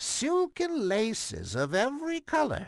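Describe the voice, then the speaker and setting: A put-on character voice, fairly high in pitch and fairly slow in pace, against a quiet background. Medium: read story. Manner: falsely sweet, coaxing.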